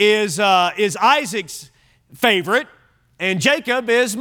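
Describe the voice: Pitch varies in an ordinary way through this plain reading aloud.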